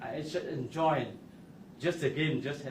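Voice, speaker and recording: With audible room echo around him, a man speaks at a fairly high pitch. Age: 70s. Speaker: democracy activist. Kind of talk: press conference. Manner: halting.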